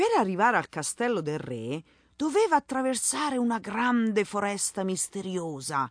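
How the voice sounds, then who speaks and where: A woman's animated, theatrical tone at medium pitch, with very wide pitch swings and a moderate pace. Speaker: podcast host and Italian language instructor. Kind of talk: dramatic storytelling narration in Italian, acting out the tale. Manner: animated, theatrical, expressive storyteller.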